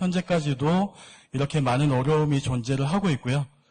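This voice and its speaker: Delivered at a moderate pace, the somewhat breathy speech has lively intonation. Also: man. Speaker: seminar speaker on cosmetics export. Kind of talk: lecture.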